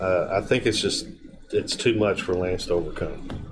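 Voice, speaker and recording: There is noticeable background noise as a man speaks at a fairly slow pace with ordinary pitch variation. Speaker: guest co-commentator. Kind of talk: casual chat; car dealer commercial parody, playing a goofy salesman.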